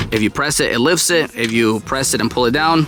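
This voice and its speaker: Over noticeable background noise, a man talks at a moderate pace in an animated tone with lively intonation. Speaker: auto DIY YouTuber. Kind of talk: tutorial. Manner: stuttering today.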